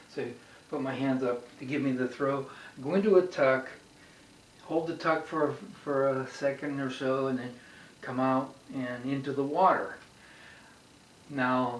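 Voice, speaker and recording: The speaker talks at a fairly slow pace with fairly even intonation over noticeable background noise. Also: man. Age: 70s. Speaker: amateur diver. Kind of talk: casual instructional talk.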